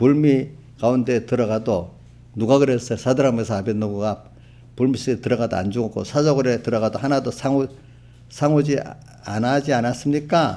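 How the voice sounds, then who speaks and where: A man speaks at a fairly quick pace in a dark, mellow tone. His intonation stays fairly even, broken by long, frequent pauses. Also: medium pitch for a man. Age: 70s. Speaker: pastor. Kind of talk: sermon. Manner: conversational, addresses congregation directly.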